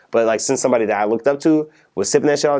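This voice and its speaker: A man speaks with an American accent and fairly even intonation. The background is quiet. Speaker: rapper. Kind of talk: interview. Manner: fast.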